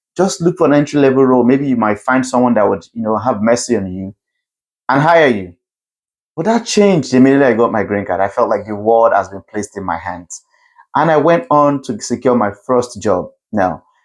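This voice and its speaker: Speaking at a fairly quick pace, this voice has a Nigerian accent and lively intonation. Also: man, medium pitch for a man. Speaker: CEO and keynote speaker. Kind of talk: keynote talk.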